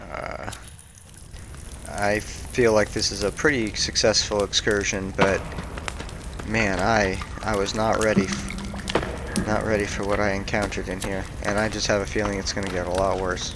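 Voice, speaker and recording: A man's fairly low voice with fairly even intonation at a moderate pace, in audible room echo with noticeable background noise. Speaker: gaming youtuber. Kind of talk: let's play commentary.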